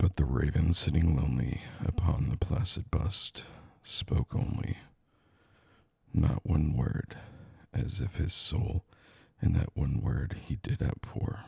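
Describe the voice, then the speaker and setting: In a dry, close sound with no echo, a man with a very deep, low voice speaks at a very slow pace, using lively intonation and long, frequent pauses. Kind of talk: poetry reading. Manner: slow, relaxing.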